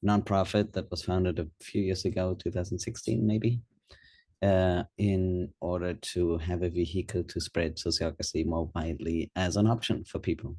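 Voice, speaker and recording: A man with a German accent speaks at a moderate pace in a very deep, low pitch, his dark, mellow tone somewhat breathy against a quiet background. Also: fairly even intonation. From Germany. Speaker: nonprofit co-founder, governance consultant. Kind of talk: webinar talk. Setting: online webinar.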